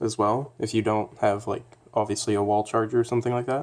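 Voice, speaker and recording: The recording is very clean, with a silent background. A man speaks at a medium pitch with monotone, flat intonation. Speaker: DIY electronics hobbyist. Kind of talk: casual tutorial talk to camera.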